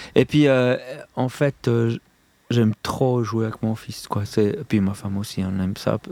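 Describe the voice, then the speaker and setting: A man with a Swiss accent speaks at a medium pitch, in a dry, close sound with no echo. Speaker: comic book artist and musician. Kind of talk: casual radio interview. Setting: radio studio.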